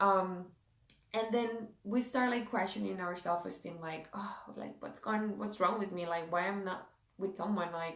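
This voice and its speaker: A woman with a Spanish accent, medium pitch and fairly even intonation, at a moderate pace, with audible room echo. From South America. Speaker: devotional and beauty vlogger. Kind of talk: casual devotional talk. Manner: halting, many fillers.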